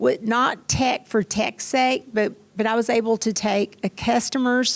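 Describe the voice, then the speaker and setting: In a strong Kentucky accent, a woman with a fairly high pitch talks at a fairly slow pace. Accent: Kentucky accent, still strong. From Kentucky, small town. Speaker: tech executive. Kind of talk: panel interview. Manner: animated.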